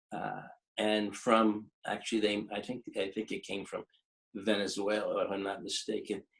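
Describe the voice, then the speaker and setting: A man with an American accent speaks in a monotone, flat way at a fairly low pitch and moderate pace. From US Northeast, Philadelphia area (Levittown, Pennsylvania). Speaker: chiropractor and author. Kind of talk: interview, casual storytelling. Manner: halting, many fillers and restarts.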